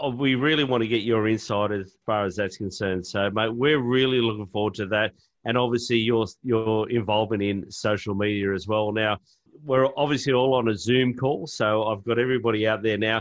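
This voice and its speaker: Intonation stays fairly even as the words come at a fairly quick clip. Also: man, medium pitch for a man. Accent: Australian. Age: 40s. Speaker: podcast host. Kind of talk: casual chat. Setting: video call.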